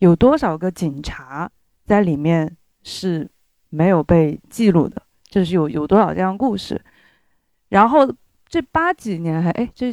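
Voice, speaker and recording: A woman with a fairly low pitch speaks at a fairly slow pace, with lively intonation and long, frequent pauses. The recording is very clean, with a silent background. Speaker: audience member. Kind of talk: casual opinion talk at live event.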